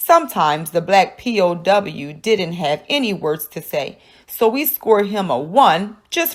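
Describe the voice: The text is given as plain reading aloud. Each line comes out without any added flourish.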